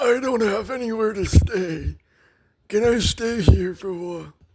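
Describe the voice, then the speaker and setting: The speaker uses a put-on character voice at a fairly high pitch. The pace is moderate. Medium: read story.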